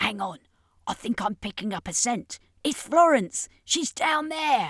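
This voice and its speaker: Using a put-on character voice, a woman speaks at a fairly slow pace with a high, raspy pitch that swings very widely. The sound is dry and close with no echo, on a very clean recording with a silent background. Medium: read story.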